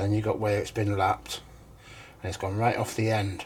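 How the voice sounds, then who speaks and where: Mumbling with vocal fry, a man talks at a fairly quick pace with fairly even intonation. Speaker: hobby machinist. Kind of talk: tutorial. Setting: home workshop. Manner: halting.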